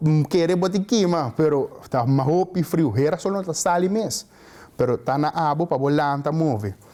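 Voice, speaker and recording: A man with a dark, mellow tone speaks at a fairly high pitch. His intonation is lively and his pace moderate. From Aruba. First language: Papiamento (speaking Portuguese). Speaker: student giving advice. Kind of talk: interview monologue.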